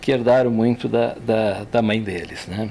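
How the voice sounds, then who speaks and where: This man talks very slowly at a medium pitch. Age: 60s. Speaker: engineer. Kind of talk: personal reflection in podcast.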